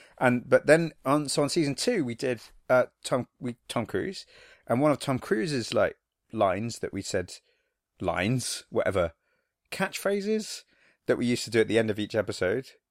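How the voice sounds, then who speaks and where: A man speaks in a normal speaking voice at a moderate pace, with lively intonation. The recording is very clean, with a silent background. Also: dry, close sound with no echo. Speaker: podcast host.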